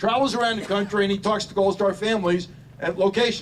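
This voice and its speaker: A high-pitched man with an American accent, very fast pace, and fairly even intonation. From Washington DC area. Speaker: Marine officer, veteran, ceremony speaker. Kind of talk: memorial speech. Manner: halting, with many repetitions.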